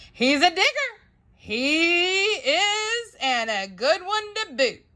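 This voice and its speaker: A woman's loud, bellowing put-on character voice, extremely high in pitch, with very wide pitch swings and a very slow pace. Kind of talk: bedtime story. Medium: read story.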